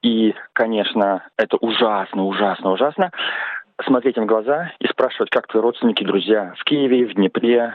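Speaking at a moderate pace and medium pitch, a man uses a normal speaking voice with ordinary pitch variation. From Russia, Saint Petersburg. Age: 40s. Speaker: economist. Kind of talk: recorded personal statement.

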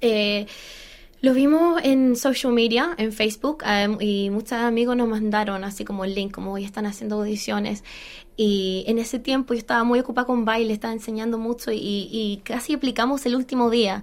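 Speaking with an English accent, a woman moves at a moderate pace with ordinary pitch variation. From Australia, Chilean background. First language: English (speaking Spanish). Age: 30s. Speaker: musical theatre actress. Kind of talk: interview. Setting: studio.

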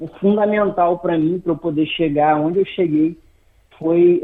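The speaker's intonation stays fairly even, with noticeable background noise behind the voice. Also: man. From Brazil, Macaé, Rio de Janeiro state. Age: 30s. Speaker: barber. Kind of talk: interview. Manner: halting, many repetitions.

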